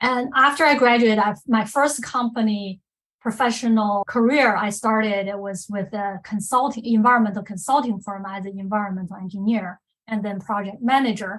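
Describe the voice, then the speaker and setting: A woman with a strong non-native accent speaks at a fairly high pitch with ordinary pitch variation and big swings in loudness. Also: moderate pace. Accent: strong foreign. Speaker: risk manager, women's leadership group member. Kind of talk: personal career story on podcast panel.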